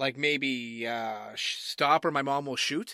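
With a Massachusetts accent, a man speaks in an animated, bright, sharp tone. The recording is very clean with a silent background and a dry, close sound with no echo. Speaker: game show judge. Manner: animated, jokey.

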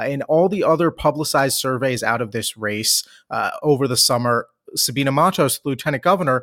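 A man with an American accent uses an unremarkable speaking voice at fairly high pitch, with ordinary pitch variation and a fairly quick pace. The recording is very clean with a silent background, dry and close with no echo. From Washington, D.C. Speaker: political analyst. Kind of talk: casual political analysis chat.

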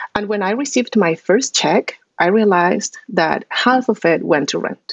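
Speaking at a fairly slow pace, a woman with a Spanish accent uses lively intonation. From Colombia, Bogota. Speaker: political science professor. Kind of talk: interview.

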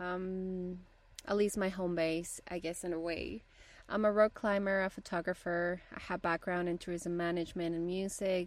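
A woman speaks with a Spanish accent at a medium pitch. Her intonation is monotone and flat. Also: moderate pace. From Bolivia. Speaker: podcast host, rock climber and photographer. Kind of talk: podcast introduction monologue. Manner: slightly halting.

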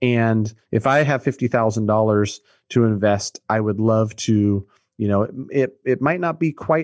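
A man with an American accent talks at a medium pitch, with ordinary pitch variation. He has an unremarkable speaking voice. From Sacramento, California. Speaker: mortgage broker and real estate investor. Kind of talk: casual interview.

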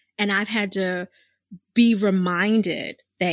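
Recorded with a dry, close sound, no echo and a quiet background, a woman with an American accent speaks at a very slow pace. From Philadelphia, US. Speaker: podcast host, business coach and clinical social worker. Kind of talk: casual monologue. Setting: studio. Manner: animated.

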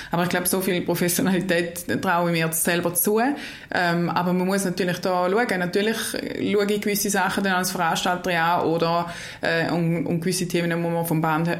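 Speaking at a moderate pace, a woman uses a fairly low pitch and fairly even intonation. Audible room echo and noticeable background noise fill the recording. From eastern Switzerland. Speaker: equestrian federation official. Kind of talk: interview. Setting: studio, face to face. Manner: hesitant, many fillers.

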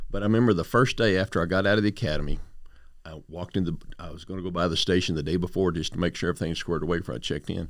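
On a very clean recording with a silent background, a man with an American accent talks at a very fast pace, his very deep, low pitch showing ordinary variation. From West Texas. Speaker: border patrol executive. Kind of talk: interview.

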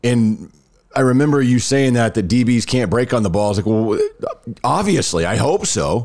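A man in a normal speaking voice talks at a medium pitch with lively intonation and very even loudness. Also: moderate pace. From Rockwall area, Texas. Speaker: podcast host, former radio host. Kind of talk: casual chat.

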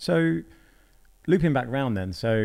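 Someone speaks with a British accent. The recording is very clean, with a silent background. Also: man. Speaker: podcast host. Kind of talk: casual interview. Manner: casual, filler-heavy.

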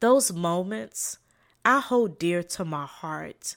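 A woman with a slight Southern US accent at a very slow pace, very wide pitch swings, and a very clean recording with a silent background. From South Carolina, US South. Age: 40s. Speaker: podcast host, leadership trainer and social worker. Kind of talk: inspirational solo talk.

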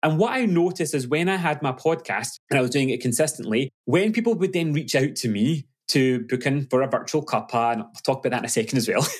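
A man with a West Coast Scottish accent speaks at a very fast pace with hardly any pauses. His pitch is fairly high and his intonation is lively. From Glasgow, Scotland. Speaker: business coach. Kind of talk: casual interview chat.

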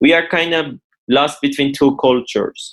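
A man with a Persian accent, fairly high in pitch, with fairly even intonation. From Iran. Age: 30s. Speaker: real estate developer and former footballer. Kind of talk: interview.

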